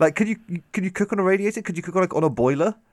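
A man with a British accent talks at a very fast pace in a dry, close sound with no echo. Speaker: podcast host. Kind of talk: casual chat, comedic banter. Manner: joking, animated.

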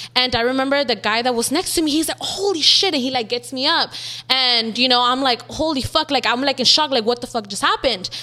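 Someone speaks at a very fast pace in a raised, projected voice with a bright, sharp tone and an American accent. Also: woman, high pitch for a woman, ordinary pitch variation. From South Central Los Angeles. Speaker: social media makeup artist. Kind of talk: casual interview chat.

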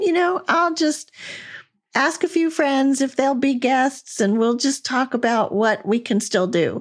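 A woman with a high pitch and lively intonation talks at a fairly slow pace. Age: 60s. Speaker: podcast host and former corporate trainer. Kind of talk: casual interview chat.

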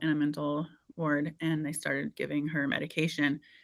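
A woman with an American accent, very deep and low in pitch, with vocal fry at a fairly quick pace, in a very clean recording with a silent background. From Indiana, US Midwest. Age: 40s. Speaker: podcast host and former fitness trainer. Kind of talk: casual interview chat.

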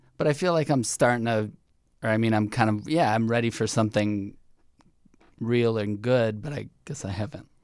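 A man with an American accent speaks at medium pitch and a moderate pace, with ordinary pitch variation, in an ordinary speaking voice. The recording is very clean, with a silent background. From US Midwest, Chicago suburbs. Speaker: dating show contestant. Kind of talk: casual chat. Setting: studio.

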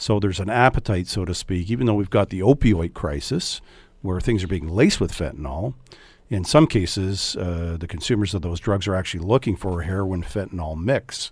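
With a Canadian accent, a man speaks at a fairly quick pace in a somewhat breathy voice. His pitch is very deep and low, with ordinary variation. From Canada, Hamilton, Ontario. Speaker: police chief. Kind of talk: radio interview. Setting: radio studio.

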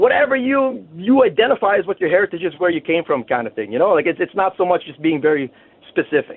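A man talks very fast in a high pitch. His tone is animated, with very wide pitch swings. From Winnipeg, Manitoba, Canada. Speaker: fishing guide. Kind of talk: casual interview.

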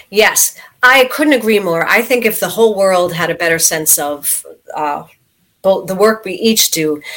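A woman with an ordinary speaking voice and an American accent talks at a moderate pace, medium in pitch, with lively intonation. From US, New York City. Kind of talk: interview.

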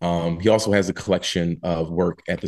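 A man with an American accent speaks at a fairly quick pace in a very deep, low pitch. The background is quiet. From US Northeast, Philadelphia. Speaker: playwright. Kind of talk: interview. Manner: halting, many fillers and repeats.

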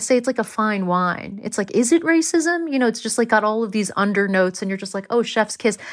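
A woman's fairly high voice at a fairly quick pace, in an American accent. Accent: American accent, living in England. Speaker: actor and comedian. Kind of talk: casual chat. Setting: video call from another country.

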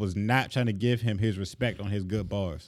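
A man at a moderate pace, pitch varying in an ordinary way. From Florida, US South. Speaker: rap battle podcast co-host. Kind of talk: casual chat.

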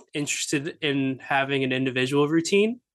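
This man has an ordinary speaking voice, pitched fairly high. He talks at a moderate pace with fairly even intonation. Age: 20s. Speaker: dietitian and competitive bodybuilder. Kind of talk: casual chat.

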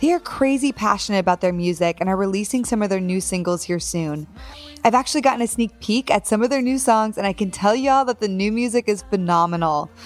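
Over background music, a woman speaks very fast at a medium pitch, her tone warm and enthusiastic and her intonation lively. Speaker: podcast host. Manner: warm, enthusiastic.

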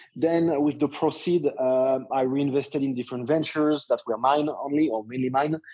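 This man has a dark, mellow tone and a fairly high pitch. He keeps his intonation fairly even, with hardly any pauses. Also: moderate pace. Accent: French. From France. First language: French. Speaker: internet entrepreneur. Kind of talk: interview. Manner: halting.

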